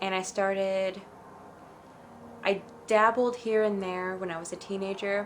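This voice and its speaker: The voice belongs to a woman. It sits at a medium pitch. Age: 20s. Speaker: spiritual vlogger. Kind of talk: story time monologue. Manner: halting.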